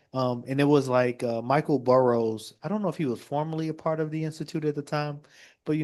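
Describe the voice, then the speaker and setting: Someone with an American accent talks at a very fast pace with ordinary pitch variation. The background is quiet. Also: man. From Chicago. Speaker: state representative. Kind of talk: panel discussion.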